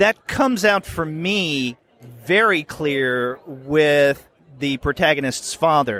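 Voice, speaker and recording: In a dry, close recording with no echo, a man with a bright, sharp tone and a fairly high pitch talks very slowly with lively intonation. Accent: American. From US South. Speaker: podcast host. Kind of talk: interview. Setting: convention floor.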